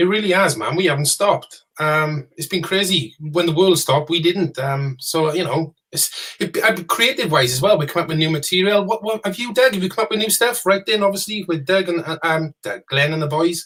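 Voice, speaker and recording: A high male voice at a fairly quick pace, with hardly any pauses and ordinary pitch variation. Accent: strong Welsh. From Wales. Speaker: rock band member, podcast co-host. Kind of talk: casual interview chat. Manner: fast.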